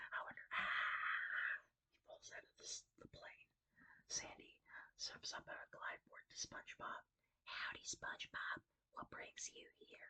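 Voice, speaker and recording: Whispering at a fairly slow pace, a woman lets her loudness swing widely. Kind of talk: read story. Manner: whispered.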